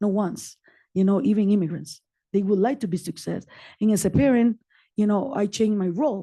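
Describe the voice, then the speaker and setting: Against a quiet background, a woman with a non-native accent speaks at a medium pitch and a fairly quick pace, her tone dark and mellow and somewhat breathy, with long, frequent pauses. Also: ordinary pitch variation. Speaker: community advocate and nonprofit founder. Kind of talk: personal testimony at a public meeting. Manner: animated.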